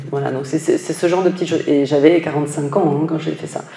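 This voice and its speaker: A woman's monotone, flat delivery against noticeable background noise. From northern France. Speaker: finance executive. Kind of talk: interview. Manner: hesitant, many fillers.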